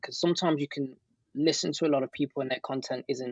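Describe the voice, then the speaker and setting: The sound is dry and close with no echo, over a quiet background. A man speaks with a British accent. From Britain. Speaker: ecommerce entrepreneur and online teacher. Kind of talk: interview.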